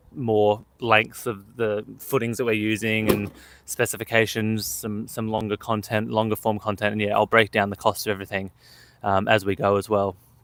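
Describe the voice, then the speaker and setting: Delivered at a moderate pace with an Australian accent, the speech has a monotone, flat intonation. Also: man. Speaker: homesteader and vlogger. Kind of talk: casual chat. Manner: hesitant, many filler words.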